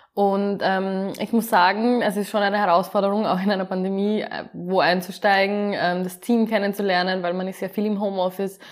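Her medium-pitched voice holds a monotone, flat intonation as the woman moves at a fairly quick pace. The recording is very clean, with a silent background. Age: 20s. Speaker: project manager. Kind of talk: interview.

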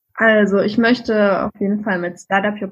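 A woman speaks in a fairly high pitch. Her voice sounds somewhat breathy. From Saxony, Germany. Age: 30s. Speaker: virtual assistant for podcasters. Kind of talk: interview.

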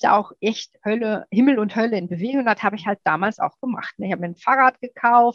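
A woman with a slight Ruhr accent speaks at a fairly high pitch with ordinary variation, the sound dry and close with no echo. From Ruhr area, Germany. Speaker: guest, lipedema patient and amateur triathlete. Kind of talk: casual interview chat.

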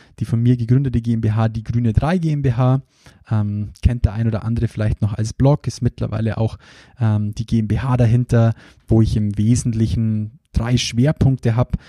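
A man with a Bavarian accent, medium pitch and a dark, mellow tone, fairly even intonation, and a dry, close sound with no echo. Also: moderate pace. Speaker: podcast host and recruiting trainer. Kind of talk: solo podcast introduction.

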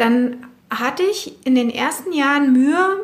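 Lively intonation in a woman's high voice. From West Berlin (Spandau). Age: 40s. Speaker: personal trainer. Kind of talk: interview. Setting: basement of her studio.

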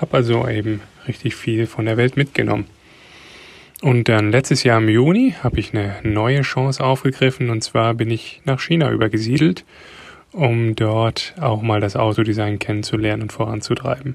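A man speaks at a moderate pace with a somewhat breathy, medium-pitched voice and fairly even intonation. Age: 30s. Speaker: car designer and father. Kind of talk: recorded voice message answers. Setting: voice message.

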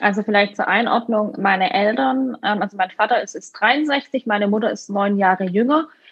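A woman talks at a moderate pace with ordinary pitch variation and hardly any pauses. It is a plain, everyday voice. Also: medium pitch for a woman. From Württemberg, southern Germany. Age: 30s. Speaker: winemaker. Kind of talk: interview.

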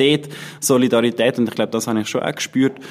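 A man at a medium pitch. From Switzerland, Haslital, Bernese Oberland. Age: 20s. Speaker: political candidate and student. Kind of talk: interview.

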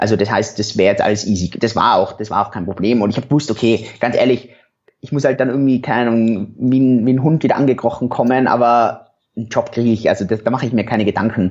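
A man talks at a very fast pace and a medium pitch. His intonation stays fairly even. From Europe. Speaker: entrepreneur and former doctor. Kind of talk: interview.

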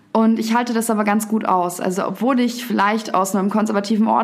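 In a room with audible echo, a woman speaks with fairly even intonation. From Upper Bavaria, Garmisch. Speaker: poetry slammer and author. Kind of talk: casual interview. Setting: studio.

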